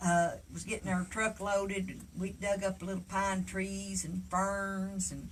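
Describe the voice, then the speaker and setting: A woman with an Appalachian accent speaks at a very slow pace. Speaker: storyteller. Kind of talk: storytelling. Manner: folksy, halting with fillers.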